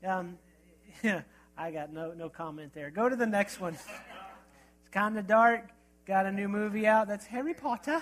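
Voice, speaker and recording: A man talks at a moderate pace in a high pitch. His pitch varies in an ordinary way. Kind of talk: sermon. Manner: casual, conversational.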